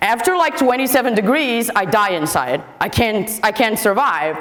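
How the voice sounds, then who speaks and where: Amid noticeable background noise and audible room echo, a woman with a Portuguese accent speaks with very wide pitch swings. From Portugal. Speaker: software developer, conference speaker. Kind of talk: conference talk. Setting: stage with audience. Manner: fast; animated.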